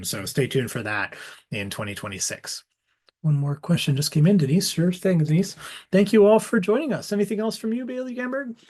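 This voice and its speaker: This man's pitch swings very widely as he talks. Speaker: museum curator. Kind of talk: online lecture Q&A. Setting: video call. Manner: fast; halting with many fillers.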